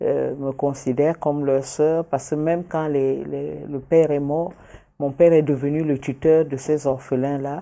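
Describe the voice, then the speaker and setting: Flat and monotone, a woman's very deep, low voice carries a dark, mellow tone. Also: fairly slow pace. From Cameroon. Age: 60s. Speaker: journalist and politician. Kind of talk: interview. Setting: studio.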